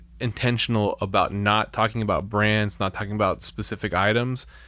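This man has a bright, sharp tone at medium pitch and speaks at a moderate pace. The recording is very clean, with a silent background. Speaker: podcast host, music producer. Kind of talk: casual chat. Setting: home studio.

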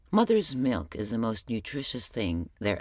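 Her intonation is lively, and this woman's pitch is very deep and low for a woman. She speaks at a moderate pace on a very clean recording with a silent background. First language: Arabic. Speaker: podcast host. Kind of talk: personal spoken journal monologue.

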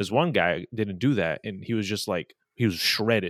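A man with a normal speaking voice, fairly low pitch, ordinary pitch variation, and a fairly quick pace, in a very clean recording with a silent background. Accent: American. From Southern California, LA. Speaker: comedy streamer. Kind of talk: casual chat.

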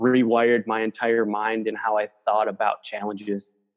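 Speaking with an American accent, a man talks at a moderate pace in a medium pitch. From Minnesota. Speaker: marketing agency owner. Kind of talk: interview.

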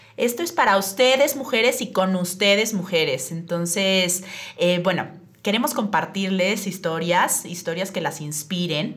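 Through audible room echo, a woman speaks at a fairly slow pace and medium pitch with lively intonation. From Mexico City. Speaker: public relations agency owner, podcast host. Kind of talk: casual podcast conversation.

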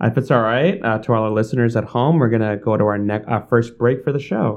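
This man has an ordinary speaking voice at a medium pitch, talking at a fairly quick pace with fairly even intonation. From New York City, Bangladeshi family. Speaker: podcast host, education CEO. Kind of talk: interview.

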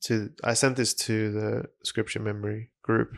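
A man's moderately paced speech comes through on a very clean recording against a silent background. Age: 20s. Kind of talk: casual chat; reading aloud.

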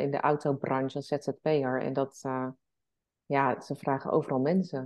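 Music plays behind a woman who speaks at a fairly slow pace. Her intonation is monotone and flat. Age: 40s. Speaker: entrepreneur and travelling mother. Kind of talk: podcast interview.

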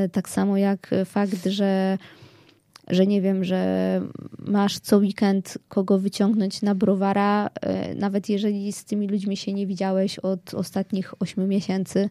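A woman's medium-pitched voice, dark and mellow in tone, stays monotone and flat, recorded very cleanly with a dry, close sound, no echo and a silent background. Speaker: blogger and writer. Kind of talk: casual chat.

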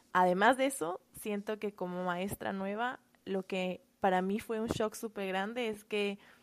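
A woman speaks at a fairly slow pace with medium pitch and fairly even intonation, an ordinary speaking voice. The recording is very clean, with a silent background. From Quito, Ecuador. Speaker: first grade teacher. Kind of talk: casual interview.

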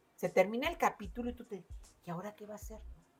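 A woman's voice with music in the background. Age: 60s. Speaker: book podcast co-host. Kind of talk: casual chat.

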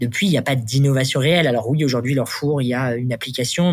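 A man's medium-pitched, somewhat breathy voice moves with fairly even intonation. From Normandy, France (Le Havre). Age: 30s. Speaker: startup founder and CEO. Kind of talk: interview. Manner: hesitant, many fillers.

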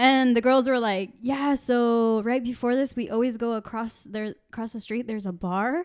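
A plain, everyday voice speaks at a moderate pace with fairly even intonation and hardly any pauses. The recording is very clean, with a silent background. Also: woman, fairly high pitch for a woman. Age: 20s. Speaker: podcast host. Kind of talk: casual chat.

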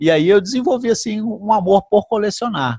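This man speaks at a moderate pace with lively intonation. The sound is dry and close with no echo, over a quiet background. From Brazil, Brasília. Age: 50s. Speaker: retired firefighter and banknote collector. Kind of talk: casual interview. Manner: halting.

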